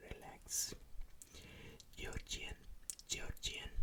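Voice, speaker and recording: The voice whispers at a very slow pace. Its tone is calm. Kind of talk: ASMR trigger words. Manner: whispered, soft-spoken; slow, calm, repetitive.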